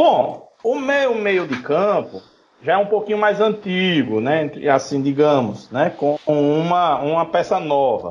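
Very wide pitch swings mark this man's fairly high voice as he speaks at a very slow pace. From Maceió, northeast Brazil. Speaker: football podcast panelist. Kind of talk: casual chat.

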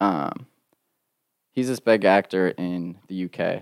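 Recorded very cleanly with a silent background and a dry, close sound with no echo, a man speaks with an American accent at a very deep, low pitch. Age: 20s. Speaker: screenwriter. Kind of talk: casual chat.

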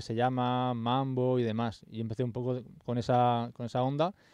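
A man's voice at medium pitch. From Spain. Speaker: music producer and YouTuber. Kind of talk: casual chat.

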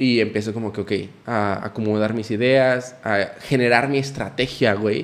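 Keeping a fairly slow pace, a man with a normal speaking voice speaks at a medium pitch with fairly even intonation. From Nuevo León, Mexico. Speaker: podcast guest. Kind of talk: casual chat.

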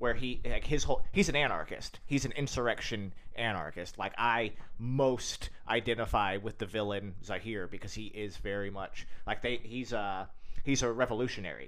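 Delivered at a moderate pace, a man's ordinary speaking voice sits at a medium pitch with ordinary pitch variation. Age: 30s. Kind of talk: casual chat.

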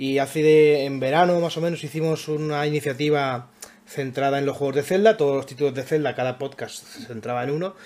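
This man has a plain, everyday voice, pitched fairly high, moving at a fairly quick pace with fairly even intonation. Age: 20s. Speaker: podcast host. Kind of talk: casual chat.

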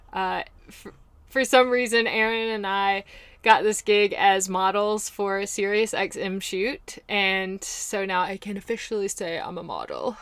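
A woman speaks with an American accent at a medium pitch. It is a normal speaking voice, with ordinary pitch variation. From US South, Mobile, Alabama. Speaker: podcast host. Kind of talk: casual monologue.

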